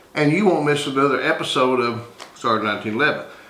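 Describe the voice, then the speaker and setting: There is noticeable background noise and audible room echo around a man's voice. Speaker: YouTuber, knife and gun channel host. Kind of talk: casual show-and-tell monologue. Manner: halting, unscripted.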